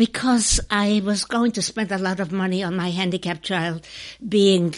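In a quiet background, a woman with a non-native accent speaks at medium pitch with fairly even intonation. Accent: noticeable foreign. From Czechoslovakia. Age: 80s+. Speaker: WW2 survivor. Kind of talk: interview.

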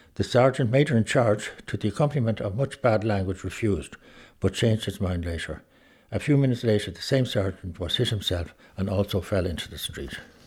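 Lively, somewhat breathy speech in an Irish accent at a fairly quick pace, in a very clean recording with a silent background. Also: man, fairly low pitch for a man. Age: 80s+. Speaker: son of a 1916 participant. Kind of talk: reading aloud and reminiscing. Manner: halting.

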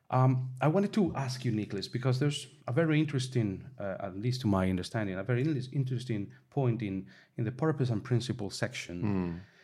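A man with a Spanish accent, medium pitch, lively intonation, a dark, mellow and somewhat breathy tone, and a very fast pace. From Spain. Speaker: communications staff, podcast co-host. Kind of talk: casual expert discussion.

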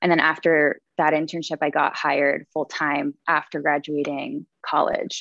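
A woman with an American accent and a very deep, low pitch speaks fairly slowly in a monotone, flat intonation, with very even loudness and hardly any pauses, in a dry, close sound with no echo against a quiet background. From Connecticut, with Mexican family. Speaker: life coach. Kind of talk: interview.

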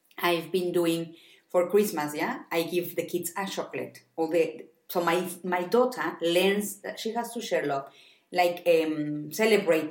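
A woman's fairly low voice with a Spanish accent, at a fairly slow pace. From Mexico. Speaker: podcast co-host, mother living abroad. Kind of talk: casual chat.

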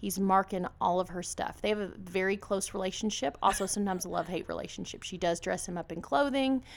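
A woman's medium-pitched voice with vocal fry, ordinary pitch variation and a very fast pace, with hardly any pauses. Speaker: podcast host. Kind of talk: casual chat.

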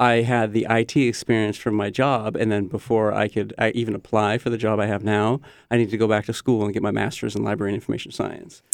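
Very fast, nearly pause-free speech with vocal fry and a flat, monotone delivery. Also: man, fairly low pitch for a man. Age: 40s. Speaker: technology librarian. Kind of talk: casual chat. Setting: studio.

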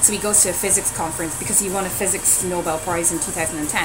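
Over noticeable background noise, a woman with a Dublin accent speaks fairly quickly at a fairly low pitch. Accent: Dublin Irish. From Dublin, Ireland. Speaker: podcast co-host and science communicator. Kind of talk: casual podcast chat. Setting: coffee house.

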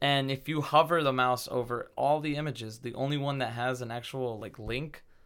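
Here a man uses a normal speaking voice at medium pitch. He keeps a moderate pace and fairly even intonation. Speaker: podcast host. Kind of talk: casual chat.

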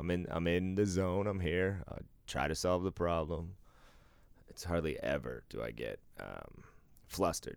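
Over a very clean recording with a silent background, a man with a very deep, low pitch talks at a moderate pace, with ordinary pitch variation and long, frequent pauses. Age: 40s. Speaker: podcast co-host. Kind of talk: casual chat. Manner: animated.

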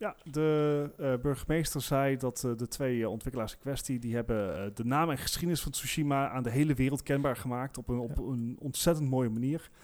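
A man talks in a normal speaking voice at a medium pitch with ordinary pitch variation. He keeps a fairly quick pace with hardly any pauses. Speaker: podcast co-host. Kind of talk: casual chat.

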